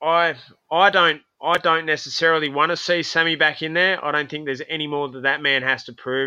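An Australian accent with a bright, sharp tone and fairly even intonation. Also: man. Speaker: professional boxer. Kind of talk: casual chat.

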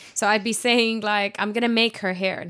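This woman speaks with an Arabic accent. Her pace is moderate. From Jordan. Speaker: podcast co-host. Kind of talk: casual chat. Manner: animated.

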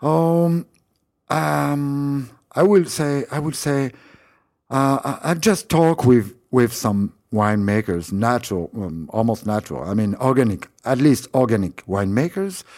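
Speaking at a fairly slow pace, a man with a French accent uses a medium pitch that swings very widely. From France, Paris. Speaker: winemaker. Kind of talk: interview. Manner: halting.

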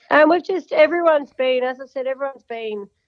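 This woman speaks at a fairly quick pace with an Australian accent. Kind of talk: casual interview chat. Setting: phone call. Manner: chatty, talkative.

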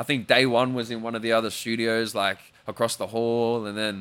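On a very clean recording with a silent background, a man with an Australian accent talks at a moderate pace in a fairly low pitch. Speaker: singer. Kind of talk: casual chat. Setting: studio.

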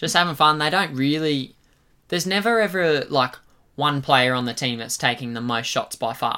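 Someone with an Australian accent speaks at a moderate pace on a very clean recording with a silent background. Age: 20s. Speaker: sports podcast co-host. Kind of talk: casual chat.

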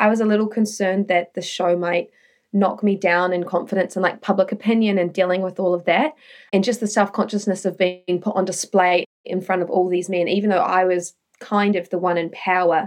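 Her voice sits at a medium pitch for a woman, and the intonation is monotone and flat. She talks at a fairly quick pace. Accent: New Zealand. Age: 30s. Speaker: former reality TV star. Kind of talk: interview.

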